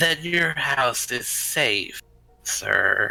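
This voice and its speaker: Someone speaks in a put-on character voice. Faint music plays in the background. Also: man, medium pitch for a man. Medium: actual play. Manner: calm, evasive.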